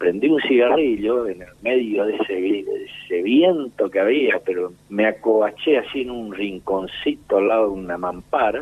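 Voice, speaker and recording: A man with a normal speaking voice talks at a moderate pace, his medium pitch varying in an ordinary way. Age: 60s. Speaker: war veteran. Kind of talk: interview. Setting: phone call.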